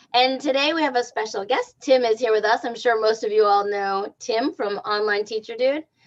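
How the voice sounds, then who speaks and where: A woman talks at a moderate pace with fairly high pitch. Her pitch varies in an ordinary way. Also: hardly any pauses. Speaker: podcast co-host. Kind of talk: livestream interview. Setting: livestream. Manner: loud.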